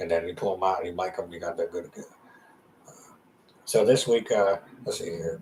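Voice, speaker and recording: Talking at a fairly quick pace, a man leaves long, frequent pauses, and his loudness swings widely. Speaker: podcast host. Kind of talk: casual monologue. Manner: fast.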